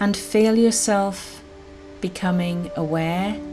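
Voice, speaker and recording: A woman talks at a fairly low pitch with fairly even intonation. Music plays in the background. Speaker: guided meditation guide. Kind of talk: guided meditation.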